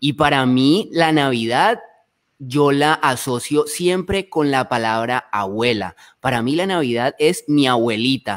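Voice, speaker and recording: With a Colombian accent and lively intonation, the speaker goes at a very slow pace over a quiet background. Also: man. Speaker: travel show host. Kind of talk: live panel chat. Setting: live stream video call. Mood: warm, nostalgic. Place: home room. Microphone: studio mic.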